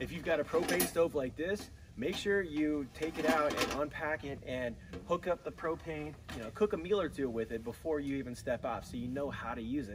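A man speaks at a fairly quick pace. Noticeable background noise runs under his voice. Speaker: outdoor cooking instructor. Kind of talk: tutorial. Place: garden.

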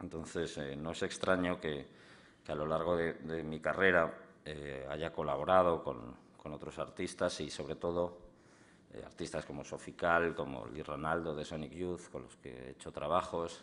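A man's very deep, low voice carries vocal fry. He talks at a fairly slow pace with fairly even intonation. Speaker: guest. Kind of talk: public talk. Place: hall. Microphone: podium.

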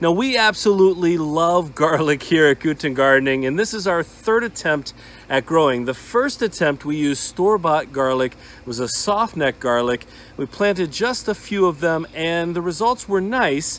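A man talks at a moderate pace in a high pitch for a man, with lively intonation. The sound is dry, with no echo. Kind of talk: casual vlog chat. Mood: upbeat, enthusiastic. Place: garden. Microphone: phone near.

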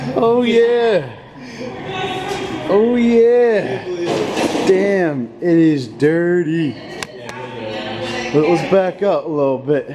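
Long, frequent pauses break up the speech, with noticeable background noise throughout. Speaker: trip vlogger filming. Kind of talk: casual vlog chat. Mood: excited, joking. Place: garage. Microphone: phone near.

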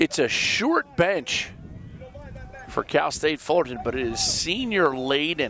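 Over noticeable background noise, a man talks at a very slow pace in a fairly high pitch, with very wide pitch swings. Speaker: play-by-play sports commentator. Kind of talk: live commentary. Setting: outdoors. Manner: animated.

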